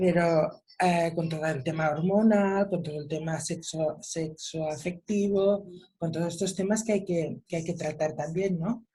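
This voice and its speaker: Speaking at a fairly slow pace, a woman has a fairly low pitch and a dark, mellow tone. Her voice is somewhat breathy, with hardly any pauses. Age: 60s. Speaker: mother of a son with Down syndrome. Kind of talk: online panel discussion. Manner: animated.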